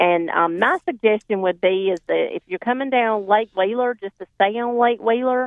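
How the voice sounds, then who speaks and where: A woman with a North Carolina accent, at a moderate pace with ordinary pitch variation. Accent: Southern, Johnston County. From North Carolina, Johnston County. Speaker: farmers market representative. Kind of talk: phone-in chat.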